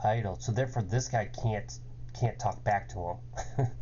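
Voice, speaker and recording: A man speaks. Room echo is audible around him. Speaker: game developer. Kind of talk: coding tutorial. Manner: hesitant, many fillers.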